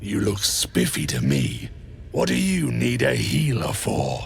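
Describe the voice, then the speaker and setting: A man puts on a character voice with a very deep, low pitch at a fairly slow pace. Clear background noise can be heard. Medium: video game. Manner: rough, sneering.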